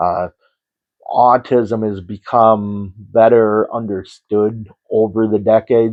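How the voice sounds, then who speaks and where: A man speaks quietly at a very slow pace. His pitch is fairly low. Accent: American. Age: 50s. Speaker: horror storyteller. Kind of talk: personal introduction monologue. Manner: halting, many fillers.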